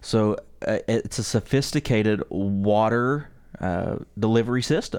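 A man speaks at a fairly slow pace in an ordinary speaking voice, his pitch medium with ordinary variation. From West Virginia. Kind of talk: casual chat. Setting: studio.

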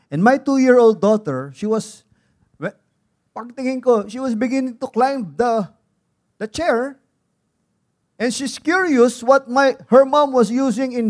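With a Filipino accent and an extremely high pitch, a man speaks at a fairly slow pace with long, frequent pauses and ordinary pitch variation, the sound dry and close with no echo. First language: Tagalog. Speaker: pastor. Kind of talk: sermon. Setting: church.

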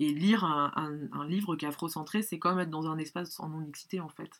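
With a fairly quick pace and ordinary pitch variation, a woman speaks in a very deep, low voice. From France. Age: 30s. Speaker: book lover. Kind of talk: casual chat. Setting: in person. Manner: halting.

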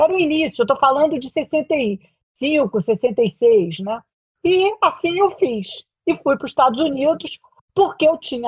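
A woman speaks with very wide pitch swings. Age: 70s. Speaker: career transition consultant and executive coach. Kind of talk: interview.

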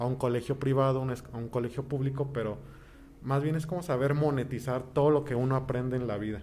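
A man talks at a moderate pace with medium pitch and a monotone, flat intonation. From Mexico, Toluca. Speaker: pianist and choir director. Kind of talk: interview.

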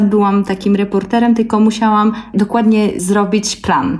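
A woman talks at medium pitch and a moderate pace. Background noise is noticeable. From Belarus, Gomel Polesia. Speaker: ethnomusicologist and singer. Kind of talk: interview.

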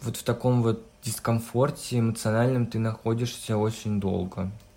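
A man talks at a fairly slow pace in a normal speaking voice. His pitch sits in the middle range. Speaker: hairdressing student and blogger. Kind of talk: casual chat. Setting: video call.

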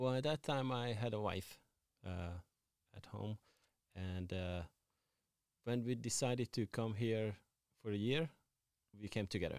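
A man with a Hungarian accent and a fairly low pitch speaks at a fairly slow pace with ordinary pitch variation and long, frequent pauses, in a very clean, silent-background recording that sounds dry and close with no echo. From Hungary. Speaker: tattoo artist and shop owner. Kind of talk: casual interview chat.

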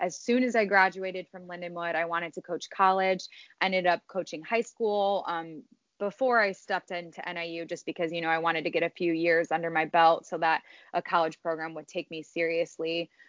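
In a Chicago accent, a woman speaks at a fairly quick pace with fairly even intonation. Her pitch is fairly low. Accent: Chicago-area American. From Illinois, Chicago suburbs. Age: 20s. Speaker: college cheer coach. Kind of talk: casual interview.

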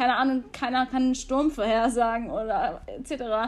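On a very clean recording with a silent background, a woman talks in a high pitch with ordinary pitch variation. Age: 20s. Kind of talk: interview.

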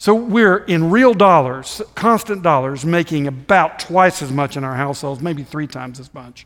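A man speaks in a plain, everyday voice with lively intonation, big swings in loudness and a moderate pace. The recording is very clean, with a silent background. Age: 60s. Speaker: visiting preacher. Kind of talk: sermon. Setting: church.

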